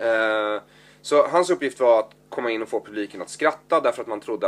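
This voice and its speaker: A man talks at a moderate pace, recorded very cleanly with a silent background. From Stockholm area, Sweden. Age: 30s. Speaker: comedian. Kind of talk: casual chat.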